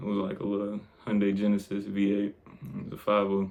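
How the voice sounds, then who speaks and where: A man speaks with a fairly low pitch. Noticeable background noise sits behind him. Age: 20s. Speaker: vlogger. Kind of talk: casual monologue.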